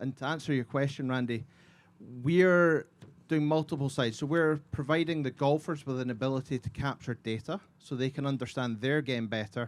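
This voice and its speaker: Speaking at a fairly quick pace, a man uses a fairly high pitch and ordinary pitch variation. He has a slight Scottish accent. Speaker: golf technology company representative. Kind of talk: panel talk.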